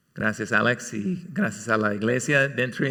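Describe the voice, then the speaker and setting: Medium in pitch, a man's voice has a bright, sharp tone and an American accent. Audible room echo surrounds it. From California, US. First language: English (speaking Spanish). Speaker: church elder preaching. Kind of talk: sermon. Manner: halting, many fillers.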